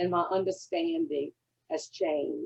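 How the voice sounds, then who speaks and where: A woman speaks with a Louisiana accent. Her pace is fairly slow. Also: dry, close sound with no echo. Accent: Cajun Southern drawl. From Louisiana Cajun country. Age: 80s+. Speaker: recovery fellowship member. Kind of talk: testimony. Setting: convention session.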